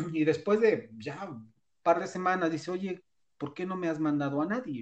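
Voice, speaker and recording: The speaker talks at a moderate pace with a Mexican accent. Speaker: podcast co-host. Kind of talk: casual chat. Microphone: connection dropped briefly.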